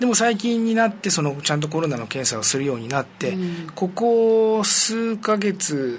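A man talks at a moderate pace in a high pitch, with very wide pitch swings. Noticeable background noise runs behind him. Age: 50s. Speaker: education advisor working in Myanmar. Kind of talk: casual interview.

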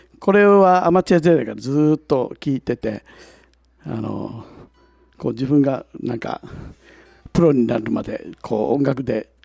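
Here is a man with an unremarkable speaking voice at medium pitch, going at a fairly slow pace. His intonation is lively, and the sound is dry and close, with no echo. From Ishigaki, Yaeyama, Okinawa. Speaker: singer-songwriter. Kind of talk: casual chat. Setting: public recording with audience.

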